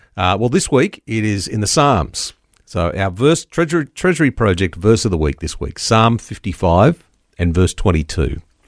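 The speaker has an Australian accent and very wide pitch swings at a moderate pace. The sound is dry and close with no echo. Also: man, fairly low pitch for a man. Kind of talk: radio interview. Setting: studio.

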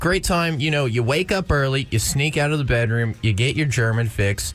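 Music plays in the background as a man talks at a moderate pace. His voice sits at a medium pitch, with lively intonation. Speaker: sports betting pundit. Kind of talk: sports picks segment. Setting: studio.

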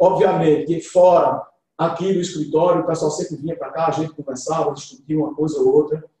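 A man with a fairly high pitch talks fairly quickly in a monotone, flat delivery. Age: 50s. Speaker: civil engineer and club presidential candidate. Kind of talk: interview, campaign pitch. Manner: halting, many fillers.

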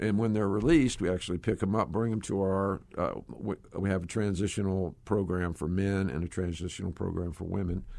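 A man speaks with a very deep, low pitch and a Southern US accent. He hardly pauses, and the background is quiet. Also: ordinary pitch variation. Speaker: ministry executive. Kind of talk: casual interview chat.

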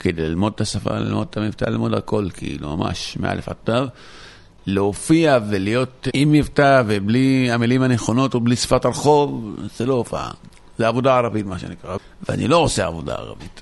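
Intonation rises and falls in a lively way at a moderate speed. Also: man, medium pitch for a man. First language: Arabic (speaking Hebrew). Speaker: stand-up comedian. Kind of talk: interview.

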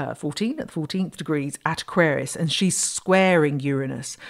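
A woman with a British accent speaks at a fairly low pitch, her pitch varying in an ordinary way. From Britain. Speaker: astrology podcast host. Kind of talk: solo podcast talk.

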